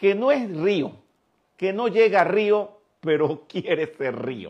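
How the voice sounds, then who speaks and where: The surroundings are quiet. A man delivers his words very slowly. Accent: Venezuelan. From Venezuela. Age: 60s. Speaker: spiritual teacher. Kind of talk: lecture.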